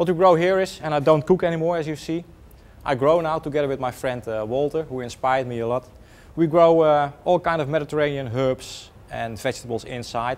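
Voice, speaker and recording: A man's speech moves along fairly quickly, and his pitch varies in an ordinary way. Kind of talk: tour guide explanation.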